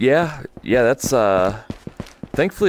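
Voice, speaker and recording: A man talks with an American accent. Behind him, background noise is noticeable. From United States. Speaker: VR gaming livestreamer. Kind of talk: casual chat during live gameplay stream.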